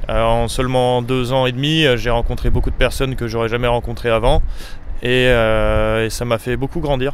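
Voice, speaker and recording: Amid noticeable background noise and audible room echo, a man speaks at medium pitch and a moderate pace with monotone, flat intonation. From France, Savoie (Chambéry). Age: 20s. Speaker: apprentice roofer. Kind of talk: interview. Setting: outdoors on a Paris rooftop. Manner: hesitant, many fillers.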